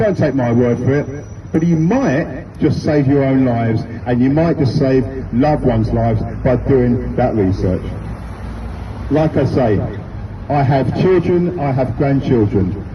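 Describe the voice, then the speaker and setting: With a British accent, a man at a medium pitch speaks at a fairly slow pace with long, frequent pauses, very even loudness and ordinary pitch variation, amid audible room echo and noticeable background noise. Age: 60s. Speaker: street campaigner, retired teacher and football coach. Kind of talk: street speech to passers-by. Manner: emphatic, repetitive.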